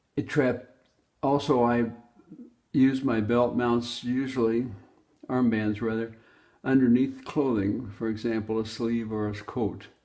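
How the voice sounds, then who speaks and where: Spoken at a fairly slow pace with long, frequent pauses, the voice has a dark, mellow tone and monotone, flat intonation. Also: man, medium pitch for a man. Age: 80s+. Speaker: inventor. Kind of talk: product explanation. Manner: halting.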